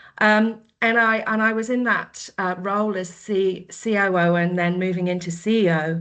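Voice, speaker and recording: Against a quiet background, a woman with a slight Australian accent speaks at a moderate pace and medium pitch, with fairly even intonation and hardly any pauses. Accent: slight Australian twang. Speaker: menopause coach. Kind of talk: podcast interview.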